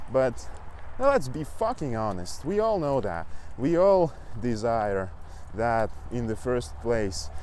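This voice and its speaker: Spoken very slowly in a Russian accent, with very wide pitch swings, long and frequent pauses, and audible room echo. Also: man, medium pitch for a man. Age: 20s. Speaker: fitness coach and language learner vlogger. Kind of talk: casual vlog monologue. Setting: outdoors, riding a bike. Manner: halting.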